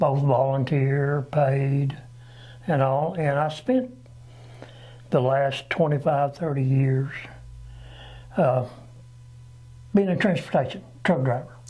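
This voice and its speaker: With an American accent, the speaker talks at a very slow pace with long, frequent pauses, a somewhat breathy, dark and mellow tone, fairly even intonation, very even loudness, and audible room echo. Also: man, fairly high pitch for a man. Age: 60s. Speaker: local election candidate, retired truck driver. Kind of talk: interview. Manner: halting.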